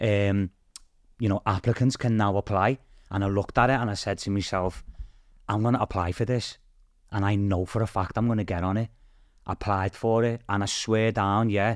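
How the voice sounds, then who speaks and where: With a Liverpool accent, a man speaks at a fairly low pitch in a monotone, flat way, the sound dry and close with no echo. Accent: Scouse. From Liverpool, England (Toxteth). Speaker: TV game show contestant. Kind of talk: casual chat.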